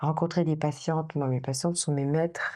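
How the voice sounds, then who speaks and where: A woman's very deep, low voice with a dark, mellow tone, fairly slow, over a quiet background. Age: 60s. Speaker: therapist. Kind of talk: interview. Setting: recorded in Dakar. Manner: hesitant, filler-heavy.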